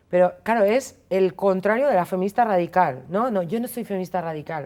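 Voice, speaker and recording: A woman with a medium-pitched voice speaks at a fairly quick pace with ordinary pitch variation. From Spain, Basque Country (Basauri, Biscay). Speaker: feminist commentator. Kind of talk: interview. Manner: casual, animated.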